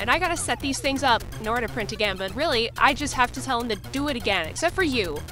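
The speech moves at a fairly quick pace over clear music in the background. The sound is dry, with no echo. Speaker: 3D printing streamer. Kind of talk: casual vlog chat. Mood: mildly disappointed, wry. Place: home room. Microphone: phone near.

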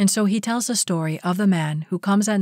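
In a very clean recording with a silent background, a woman with a plain, everyday voice speaks at a medium pitch and moderate pace, her pitch varying in an ordinary way. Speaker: audiobook reader. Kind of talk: audiobook reading of a spiritual lecture.

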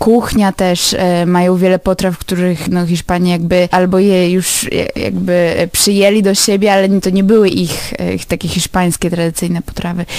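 Against noticeable background noise, a woman of medium pitch talks at a moderate pace in a monotone, flat intonation. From Poland, Lublin. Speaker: university graduate. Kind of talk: radio interview.

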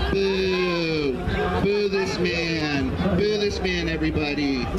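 A man at a very slow pace against loud background noise. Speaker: pro wrestling manager. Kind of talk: wrestling heel ring promo. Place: stadium.

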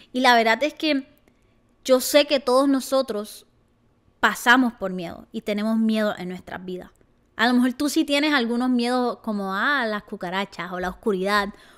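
Against a quiet background, a woman with a fairly high pitch speaks in an animated tone at a moderate pace, with ordinary pitch variation and big swings in loudness. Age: 20s. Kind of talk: casual vlog monologue. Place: home room. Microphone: handheld.

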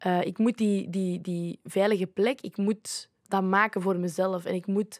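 A woman speaks at a medium pitch with fairly even intonation. Her pace is fairly slow. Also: quiet background. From Flanders, Belgium (Leuven); Flanders, Belgium. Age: 20s. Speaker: youth ambassador; podcast guest. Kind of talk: casual chat. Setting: studio. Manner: halting. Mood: reflective, personal, open. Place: studio. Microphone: studio mic.

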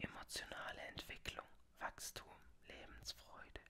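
The speaker is a woman, and she is whispering. She goes at a very slow pace. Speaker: tarot reader (roleplay persona). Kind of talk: ASMR roleplay, tarot reading. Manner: whispered, soft-spoken. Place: home room. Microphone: studio mic.

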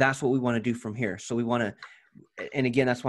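A man at a fairly quick pace against a quiet background. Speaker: ads coach guiding a client. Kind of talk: tutorial. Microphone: video call.

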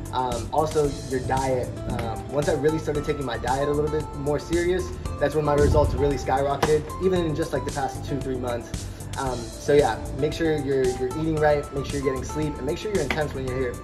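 A man talking at a fairly quick pace with clear music in the background. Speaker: interviewee. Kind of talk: interview answer. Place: gym. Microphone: phone near.

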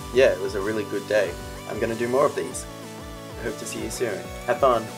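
A man talks very rapidly. Background music can be heard behind him. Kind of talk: casual talk to camera.

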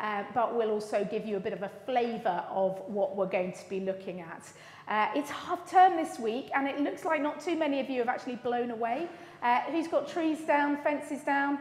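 A woman speaks at a moderate pace in a high voice, with audible echo from the room. Her pitch swings very widely. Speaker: lead minister. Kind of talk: welcome announcements to congregation. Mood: warm, cheerful, laughing. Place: church.

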